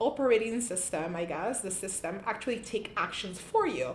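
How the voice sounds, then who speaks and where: A woman with a non-native accent speaks in a room with audible echo. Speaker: tech YouTuber. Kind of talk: casual tech review vlog. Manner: hesitant, many fillers and restarts.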